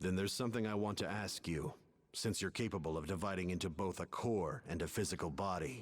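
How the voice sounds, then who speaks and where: A put-on character voice from a man, fairly low in pitch, serious in tone and very fast in pace. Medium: video game. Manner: serious, measured.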